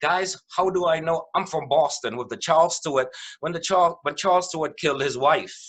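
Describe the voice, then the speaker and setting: An animated man speaks at a fairly high pitch for a man. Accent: West Indian. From West Indies. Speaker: mediator. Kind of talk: webinar presentation.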